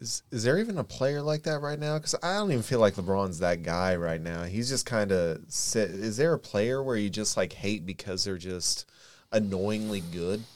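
A man with an American accent and a normal speaking voice, fairly low in pitch, at a moderate pace with lively intonation, on a very clean recording with a silent background. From Kokomo, Indiana. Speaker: sports fan panelist. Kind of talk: casual chat.

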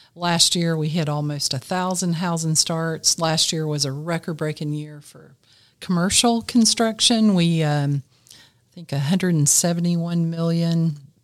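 This voice has a Southern US accent and moves at a fairly slow pace. Its loudness swings widely. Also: woman, fairly low pitch for a woman, fairly even intonation. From South Carolina, Greenville. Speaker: city building official. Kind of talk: interview. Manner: halting, many fillers.

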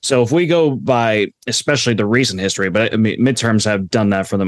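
A man with an American accent speaks in an ordinary speaking voice, fairly low in pitch with ordinary pitch variation. His pace is fairly quick, and the sound is dry and close with no echo. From Florida, US. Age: 20s. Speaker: author and political science graduate. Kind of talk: interview discussion on politics. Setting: remote call.

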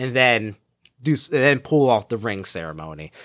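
A man's bright, sharp tone sounds dry and close with no echo on a very clean recording with a silent background. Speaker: travel podcast host. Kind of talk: solo travel narration.

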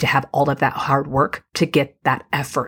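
The delivery is animated and enthusiastic at a fairly slow pace. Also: woman. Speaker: podcast host and business coach. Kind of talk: scripted-style solo podcast intro and pitch. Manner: animated, enthusiastic.

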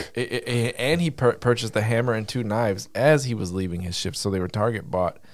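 A man with a medium pitch talks at a very fast pace with hardly any pauses and ordinary pitch variation. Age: 40s. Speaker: gaming podcast co-host. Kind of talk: casual chat.

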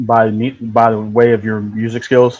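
A man with an American accent, a slightly mellow tone and a fairly slow pace

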